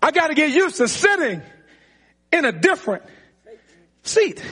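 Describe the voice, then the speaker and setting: In a raised, projected voice with an animated, bright, sharp tone, a man with an extremely high pitch swings his pitch very widely and leaves long, frequent pauses. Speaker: preacher. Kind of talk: sermon. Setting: church with live congregation. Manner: animated, preaching in full flow, call-and-response; repetitive, emphatic, building intensity.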